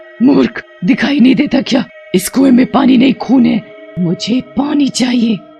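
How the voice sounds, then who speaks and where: Clear music plays in the background. A put-on character voice at a fairly high pitch speaks at a fairly slow pace. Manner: scary.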